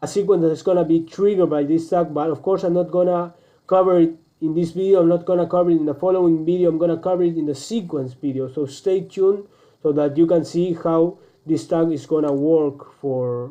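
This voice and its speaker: Over a quiet background, a man with a Spanish accent talks at a fairly quick pace and a high pitch. His tone is dark and mellow, and his intonation stays fairly even. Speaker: online business coach; presenter. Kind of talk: screen-recorded tutorial; tutorial. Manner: halting, many fillers and restarts.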